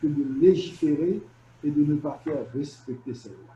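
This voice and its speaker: A somewhat breathy, dark and mellow voice at a moderate pace, with ordinary pitch variation. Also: man. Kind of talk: presentation.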